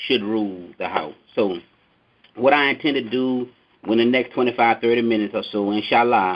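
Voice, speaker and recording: The voice belongs to a man at a medium pitch. He keeps a moderate pace. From US South, New Orleans, Louisiana. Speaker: mosque security captain. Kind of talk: lecture on a conference call. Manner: runs words together when excited.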